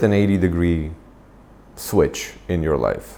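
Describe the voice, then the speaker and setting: In an Armenian accent, a man speaks with a very deep, low pitch and ordinary pitch variation. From Armenia, moved to US at 15. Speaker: nonprofit founder and executive. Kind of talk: interview. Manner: hesitant, many fillers.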